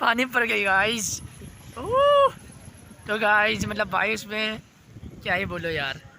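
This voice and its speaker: Long, frequent pauses break up a man's speech while noticeable background noise plays behind him. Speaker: vlogger. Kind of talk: casual vlog. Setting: outdoors at night. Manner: halting, many fillers.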